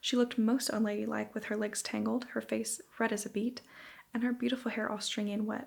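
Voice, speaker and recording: Soft-spoken and full of vocal fry, the voice moves at a fairly quick pace with fairly even intonation. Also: woman. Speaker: ASMR creator. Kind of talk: bedtime story reading.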